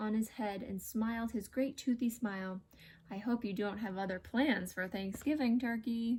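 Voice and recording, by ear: Reading aloud, the speaker keeps a natural voice.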